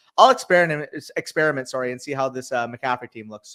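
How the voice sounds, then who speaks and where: A man mumbles very fast in a put-on character voice at a medium pitch, with big swings in loudness. The sound is dry and close, with no echo. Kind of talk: casual, fantasy football talk. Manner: mumbling.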